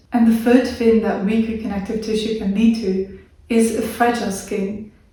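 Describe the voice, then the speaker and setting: A woman speaks at a moderate pace in a fairly high pitch, her intonation monotone and flat. Noticeable background noise and audible room echo fill the recording. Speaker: video creator with a chronic illness. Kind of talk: educational talk to camera.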